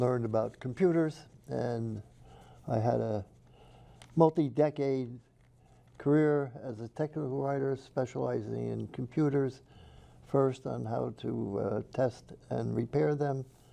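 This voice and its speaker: Long, frequent pauses break up this fairly slow delivery in an American accent, which has a dark, mellow tone and ordinary pitch variation. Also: man, medium pitch for a man. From New York City. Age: 80s+. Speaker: author. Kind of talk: interview. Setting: TV studio.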